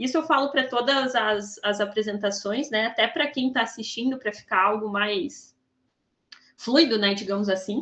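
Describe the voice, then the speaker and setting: A woman's bright, sharp tone, fairly high in pitch, with ordinary pitch variation. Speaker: professor on thesis review panel. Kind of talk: academic feedback to student. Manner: fast.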